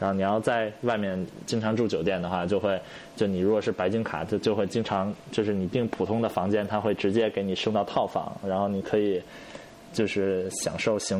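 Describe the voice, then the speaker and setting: A man with a fairly low pitch and fairly even intonation talks at a moderate pace, noticeable background noise behind him. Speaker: podcast co-host. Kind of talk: casual chat.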